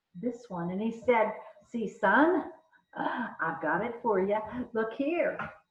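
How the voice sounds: Lively intonation paired with a natural reading voice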